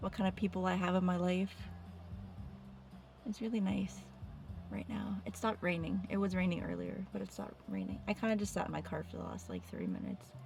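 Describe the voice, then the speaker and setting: A woman whispers with long, frequent pauses over music in the background. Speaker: vlogger. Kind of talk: personal video diary. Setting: in a car. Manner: halting; whispering.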